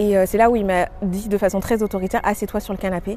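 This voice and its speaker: Fairly even intonation at a fairly quick pace. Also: woman. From Paris, France. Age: 30s. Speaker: testimony speaker. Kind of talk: testimony. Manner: halting, many filler words.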